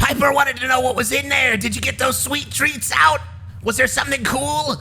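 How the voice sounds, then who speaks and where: Using a put-on character voice, a man projects at a raised volume and a fairly quick pace over clear background noise. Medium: actual play. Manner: casual, rambling.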